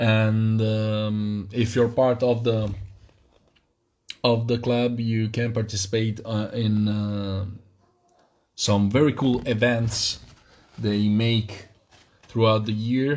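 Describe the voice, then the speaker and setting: Speaking in a monotone at medium pitch, a man moves at a very slow pace with long, frequent pauses. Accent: non-native. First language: not English. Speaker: miniature wargaming hobbyist streamer. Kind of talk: live stream unboxing. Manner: halting, many fillers.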